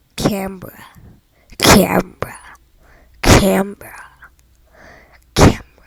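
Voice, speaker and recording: The whispering moves at a very slow pace. Long pauses break it up frequently. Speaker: gaming youtuber. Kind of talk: gameplay commentary. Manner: hesitant.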